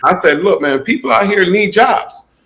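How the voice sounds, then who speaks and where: With an American accent, a man talks in a normal speaking voice at a moderate pace with ordinary pitch variation. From South Florida, Opa-locka, Jamaican family. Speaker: YouTuber and gig-economy entrepreneur. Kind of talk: podcast interview.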